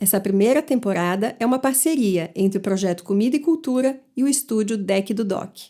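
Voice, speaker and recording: A woman's fairly high, dark and mellow voice, fairly quick with hardly any pauses and lively intonation, on a very clean recording with a silent background. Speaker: podcast host and interviewer. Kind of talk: podcast intro.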